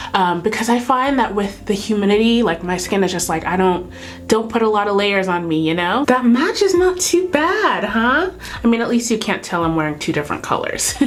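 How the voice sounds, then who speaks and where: With a Californian accent, a woman speaks fairly quickly in a fairly high voice with very wide pitch swings, amid noticeable background noise and audible room echo. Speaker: beauty YouTuber. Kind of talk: makeup tutorial. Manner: casual, chatty.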